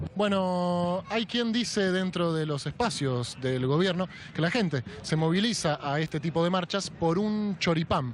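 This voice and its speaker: A man with a Rioplatense accent talks at a high pitch for a man and a fairly slow pace, with ordinary pitch variation, very even loudness and hardly any pauses. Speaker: comedic street reporter. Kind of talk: humorous street interviews. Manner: casual, joking.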